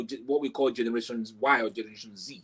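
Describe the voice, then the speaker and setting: A man with a Nigerian accent at a fairly quick pace. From southeast Nigeria, Igbo. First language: Igbo. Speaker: author and book marketing coach. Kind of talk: interview about book marketing.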